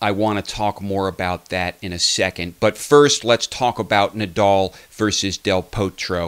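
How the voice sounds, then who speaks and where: With hardly any pauses and a fairly slow pace, a man speaks in an unremarkable speaking voice, fairly low in pitch and fairly even in intonation, in a dry, close sound with no echo. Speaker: tennis commentator. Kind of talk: sports match commentary and analysis. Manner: analytical, conversational.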